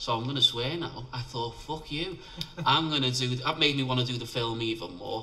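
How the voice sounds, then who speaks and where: The speech comes quickly with a Liverpool accent. Room echo is audible, and background noise is noticeable. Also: man, medium pitch for a man, ordinary pitch variation. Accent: Scouse (Liverpool). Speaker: independent filmmaker. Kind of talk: interview.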